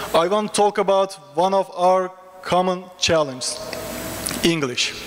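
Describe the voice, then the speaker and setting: Over noticeable background noise, a man with a Turkish accent and a high pitch speaks at a fairly slow pace, his loudness very even and his pitch varying in an ordinary way. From Turkey. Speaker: international graduate student. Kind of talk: humorous speech to an audience.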